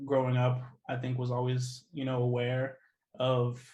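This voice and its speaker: A man speaks with an American accent at a moderate pace. His voice is somewhat breathy. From US Midwest, Kansas City, Kansas. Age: 20s. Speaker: activist. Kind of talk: interview. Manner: hesitant, many fillers.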